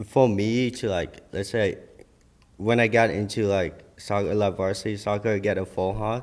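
A man talks at a moderate pace in an ordinary speaking voice. His pitch is fairly low and his intonation fairly even. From Vietnam, raised partly in Minnesota. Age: 20s. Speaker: fashion designer. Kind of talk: casual chat. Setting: studio.

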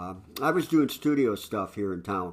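A man speaks with a US Midwestern accent at a fairly low pitch, with ordinary pitch variation and a moderate pace. The recording is very clean, with a silent background. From northwest Ohio, US Midwest. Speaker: rock bass player. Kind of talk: casual interview.

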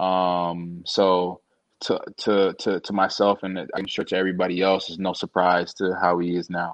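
A man with a Toronto accent speaks at a very deep, low pitch and a fairly slow pace. His intonation is monotone and flat, over a quiet background. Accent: Canadian (Toronto) English. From Canada, Toronto. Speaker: former college football receiver. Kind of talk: casual interview. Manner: hesitant, many fillers.

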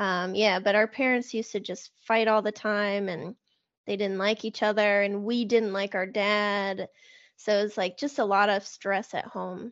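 An ordinary speaking voice. It moves at a fairly slow pace with fairly even intonation. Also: woman, medium pitch for a woman. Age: 30s. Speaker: recovery podcaster and sobriety coach. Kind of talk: personal testimony in interview.

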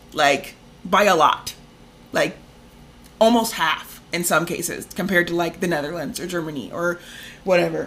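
A woman speaks at a fairly low pitch and a moderate pace, with ordinary pitch variation. She leaves long, frequent pauses. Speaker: podcast co-host. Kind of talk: angry rant about medical bills. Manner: casual, chatty.

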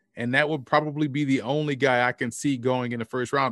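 This man's medium-pitched voice stays monotone and flat at a fairly quick pace, with a dry, close sound and no echo. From New Orleans, Louisiana. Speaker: football scout and college football commentator. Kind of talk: casual chat.

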